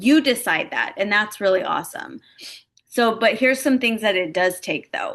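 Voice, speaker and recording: A woman's bright, sharp voice with ordinary pitch variation over a quiet background. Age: 40s. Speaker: life insurance broker and agency recruiter. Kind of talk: webinar-style presentation. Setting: home office, recorded online session.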